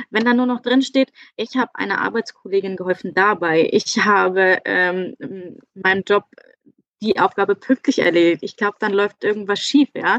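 A woman talks in a normal speaking voice at a moderate pace. Her pitch variation is ordinary. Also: medium pitch for a woman, dry, close sound with no echo. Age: 30s. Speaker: virtual assistant. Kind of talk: casual interview. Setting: in-person studio.

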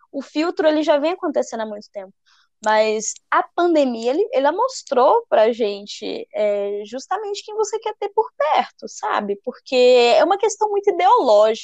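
A woman speaks at a fairly slow pace in a high pitch. Her pitch swings very widely and her loudness shifts a lot. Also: dry, close sound with no echo. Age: 20s. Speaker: podcast co-host, artist. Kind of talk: casual chat.

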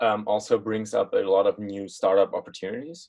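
A man speaks with a German accent. His pace is fairly quick. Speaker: podcast host. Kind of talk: interview.

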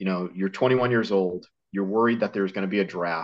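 Over a quiet background, a man with a Northeastern US accent speaks in a fairly low pitch with fairly even intonation. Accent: American Northeast. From US Northeast, Connecticut. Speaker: survival instructor and author. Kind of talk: casual interview.

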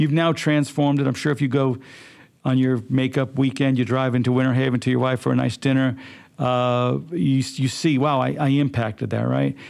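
A man's flat, monotone voice at a fairly quick pace, with very even loudness. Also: medium pitch for a man. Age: 60s. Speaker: podcast host. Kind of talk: interview.

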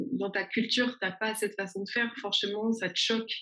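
Her fairly high voice stays monotone and flat as a woman speaks at a moderate pace. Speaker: YouTuber. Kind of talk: interview.

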